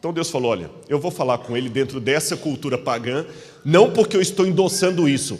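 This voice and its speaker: Noticeable background noise sits behind a man talking at a fairly quick pace. His voice is fairly high, with ordinary pitch variation. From Minas Gerais, Brazil. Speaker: preacher. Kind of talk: sermon.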